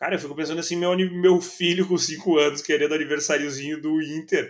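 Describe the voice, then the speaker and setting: The speaker has a Gaúcho Brazilian accent. The pace is moderate. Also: man. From southern Brazil, Gravataí. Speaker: football fan YouTuber and journalist. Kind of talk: casual chat.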